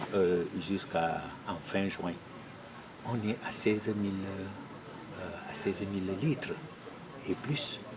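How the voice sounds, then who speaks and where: A man's fairly low voice amid noticeable background noise. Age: 60s. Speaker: farmer group delegate. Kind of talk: interview.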